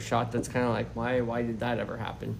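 Audible room echo and noticeable background noise accompany a man as he speaks. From Canada, Maritimes. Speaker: golf coach. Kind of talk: interview.

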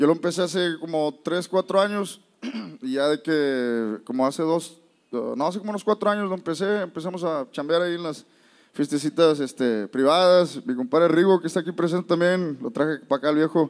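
Talking at a fairly quick pace, a man with a plain, everyday voice sits fairly high in pitch and shows ordinary pitch variation. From South Texas (McAllen), Mexican family from Nuevo León. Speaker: band leader and musician. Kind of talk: casual chat.

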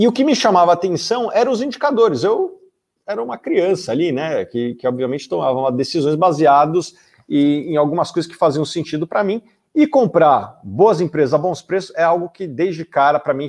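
A high-pitched man's voice with lively intonation at a fairly quick pace, against a quiet background. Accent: Brazilian. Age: 30s. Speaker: investment analyst and podcast host. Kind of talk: livestream lecture on investing. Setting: live stream.

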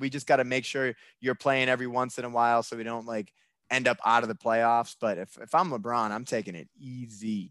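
A man with an ordinary speaking voice, medium pitch and a moderate pace, over a quiet background. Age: 30s. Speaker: sports podcast co-host. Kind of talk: casual chat.

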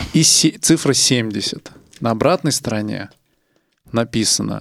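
With lively intonation and vocal fry, the voice moves at a very slow pace. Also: man. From Russia, Nizhny Novgorod. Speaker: podcast host. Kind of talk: casual chat.

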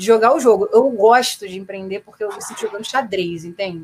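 A woman speaks in a normal speaking voice, fairly high in pitch. Her pace is moderate and her pitch variation ordinary. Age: 30s. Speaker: rock singer and producer. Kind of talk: casual chat.

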